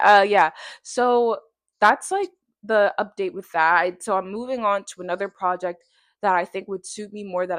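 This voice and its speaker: Talking at a fairly quick pace, a woman with a South Florida accent keeps a medium pitch and fairly even intonation. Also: quiet background. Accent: American, South Florida. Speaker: vlogger. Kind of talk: casual vlog monologue. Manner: fast.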